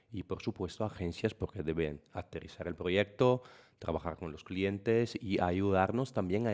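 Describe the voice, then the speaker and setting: An Italian accent with ordinary pitch variation. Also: man. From Italy. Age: 40s. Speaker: software partnership manager. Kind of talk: podcast interview. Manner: halting.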